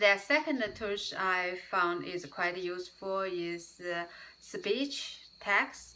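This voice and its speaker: A woman with a non-native accent and a bright, sharp tone speaks at a very slow pace, with a medium pitch and ordinary pitch variation. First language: not English. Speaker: YouTuber, English learner. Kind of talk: casual vlog talk. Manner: halting, many fillers.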